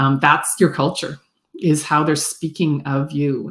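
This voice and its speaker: On a very clean recording with a silent background, a woman speaks fairly slowly in a somewhat breathy voice. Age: 50s. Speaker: business consultant. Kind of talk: casual chat.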